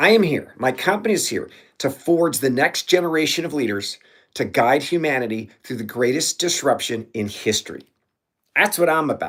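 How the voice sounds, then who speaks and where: A man's fairly high voice in an American accent, lively in intonation, on a very clean recording with a silent background. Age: 60s. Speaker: leadership coach. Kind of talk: motivational livestream talk. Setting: livestream. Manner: animated.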